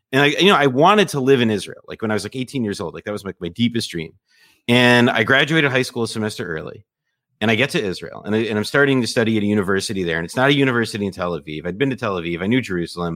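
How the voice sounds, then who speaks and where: Over a silent background in a very clean recording, a man with an American accent talks at a very fast pace with lively intonation. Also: medium pitch for a man. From US Northeast, suburban New Jersey. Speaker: journalist and podcaster. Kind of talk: casual interview.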